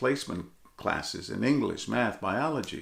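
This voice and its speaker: The speaker is a man with a fairly high pitch. Vocal fry runs through his voice. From Texas, San Antonio (Mexican-American, migrant farmworker family). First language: Spanish. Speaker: television reporter, keynote speaker. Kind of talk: motivational speech. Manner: animated.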